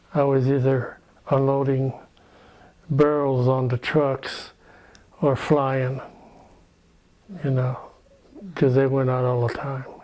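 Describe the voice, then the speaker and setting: A man's medium-pitched, monotone voice with flat intonation, a very slow pace, long and frequent pauses, and noticeable background noise. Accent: American. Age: 60s. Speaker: war veteran. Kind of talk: oral history interview. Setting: private home. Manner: halting.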